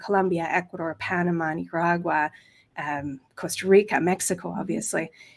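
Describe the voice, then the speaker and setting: A woman with a Canadian accent and a normal speaking voice, at a moderate pace with ordinary pitch variation, on a very clean recording with a silent background. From western Canada (Kelowna, British Columbia). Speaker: language teacher and course creator. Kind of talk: interview.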